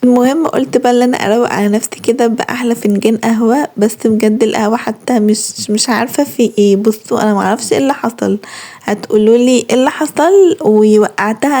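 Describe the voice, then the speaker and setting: A woman speaks at a fairly high pitch and a moderate pace, with ordinary pitch variation. Her loudness stays very even over noticeable background noise. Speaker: lifestyle vlogger. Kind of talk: vlog narration. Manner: casual, chatty.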